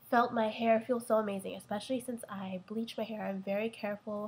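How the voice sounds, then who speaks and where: A woman speaks at a moderate pace in a monotone, flat delivery. Her voice is somewhat breathy. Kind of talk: casual product review to camera.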